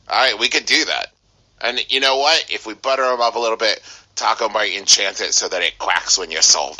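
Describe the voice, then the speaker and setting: Putting on a character voice, a man speaks fairly quickly in a raspy tone at a medium pitch. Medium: actual play. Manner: earnest, friendly.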